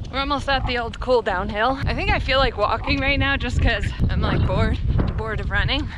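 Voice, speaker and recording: A woman is speaking over loud background noise. The sound itself is dry, with no echo. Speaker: vlogger. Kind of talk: casual vlog chat. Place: open country. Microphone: phone near.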